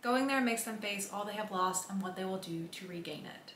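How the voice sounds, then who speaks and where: Audible room echo and light background noise accompany a woman talking at a fairly quick pace with ordinary pitch variation. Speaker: book vlogger. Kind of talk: casual vlog chat. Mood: upbeat, enthusiastic. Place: home room.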